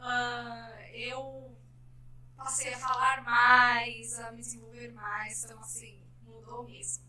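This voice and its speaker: Very slow speech with big swings in loudness and audible room echo. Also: woman. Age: 30s. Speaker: shoe business owner. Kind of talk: casual interview.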